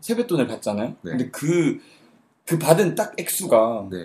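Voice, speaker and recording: Man with a dark, mellow tone, a fairly high pitch and very wide pitch swings. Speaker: university student, worship team leader. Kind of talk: casual chat.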